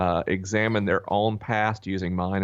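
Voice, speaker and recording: With a North Florida accent, this man has a very deep, low pitch and fairly even intonation. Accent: Southern US (North Florida). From North Florida (Tallahassee). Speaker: author and podcast host. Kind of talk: interview conversation. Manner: frequent fillers (uh, um).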